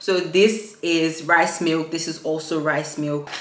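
A woman's fairly low voice, fairly even in intonation, at a fairly slow pace, with audible room echo. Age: 20s. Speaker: lifestyle YouTuber. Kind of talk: vlog narration. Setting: shopping in stores. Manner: casual, chatty.

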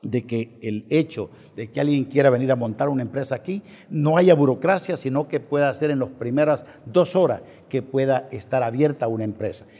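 This man's pitch sits fairly high. His tone is dark and mellow, with ordinary pitch variation. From El Salvador, eastern (La Unión, San Miguel); El Salvador. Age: 60s. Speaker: presidential candidate; interview guest, candidate. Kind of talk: political interview; interview answer. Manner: halting, many fillers and repetitions. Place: studio. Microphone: lapel.

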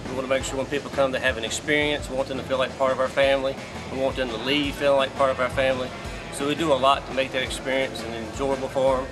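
A man rattles off his words very fast while clear music plays behind him. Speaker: auction company staff. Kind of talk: interview answer. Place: hall.

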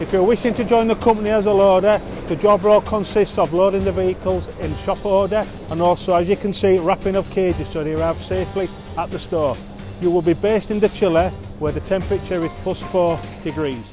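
The speech runs at a very fast pace with fairly even intonation. The sound is dry with no echo, and music plays clearly in the background. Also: man, high pitch for a man. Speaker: warehouse staff guide. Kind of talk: walkthrough tour presentation. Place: factory. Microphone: phone near.

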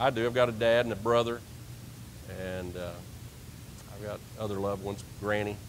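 Light background noise beneath a man speaking. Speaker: preacher. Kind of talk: sermon. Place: church.

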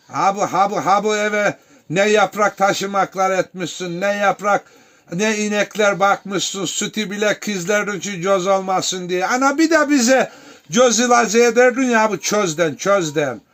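Noticeable background noise behind a man's high voice, fairly slow in pace, with ordinary pitch variation. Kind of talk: casual family chat for camera.

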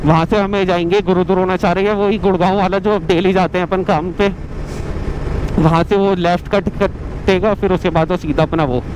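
A man's high-pitched voice at a moderate pace, monotone and flat, with very even loudness, a dry sound with no echo and noticeable background noise. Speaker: motorbike rider vlogger. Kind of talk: casual vlog chat. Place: motorbike. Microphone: helmet.

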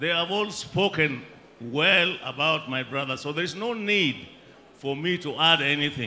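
A man with a Kenyan accent speaks fairly slowly with ordinary pitch variation over light background noise. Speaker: bereaved family member. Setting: outdoor funeral gathering with crowd and PA system. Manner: wry and folksy, dropping jokes and proverbs into grief; halting, with frequent uh and um fillers. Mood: solemn, reflective. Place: tent. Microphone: handheld.

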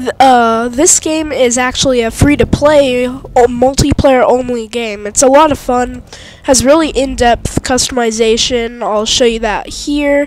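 This woman has a high voice and talks at a fairly slow pace with hardly any pauses. Her intonation is fairly even, and background noise is noticeable. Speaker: gaming commentator. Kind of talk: let's play gameplay commentary.

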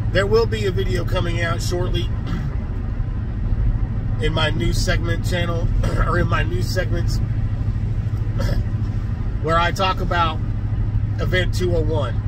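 Over loud background noise, a man talks at a moderate pace with long, frequent pauses, and the sound is dry with no echo. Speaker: vlogger. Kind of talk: casual rant vlog. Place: car. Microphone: phone near.

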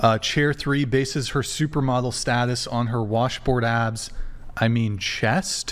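A man speaks fairly slowly, his pitch moving in an ordinary way. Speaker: podcast host and moderator; stream host. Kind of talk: panel debate. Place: studio. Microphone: studio mic.

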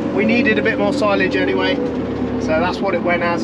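A man speaks with an English accent. Loud background noise runs behind him. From England. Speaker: farmer and video creator. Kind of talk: casual vlog narration. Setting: outdoors and in a tractor cab. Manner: relaxed, chatty. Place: farm machine. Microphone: phone near.

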